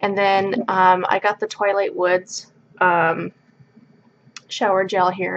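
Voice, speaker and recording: A woman's monotone, flat delivery at a very slow pace, with long, frequent pauses. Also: medium pitch for a woman. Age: 20s. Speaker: beauty vlogger. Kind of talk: product review vlog. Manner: casual, filler-heavy.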